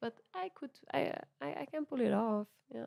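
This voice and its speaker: A woman with an Italian accent is heard in a dry, close sound with no echo. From Italy, Milan. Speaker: musician. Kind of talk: podcast interview. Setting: recorded at venue. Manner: halting.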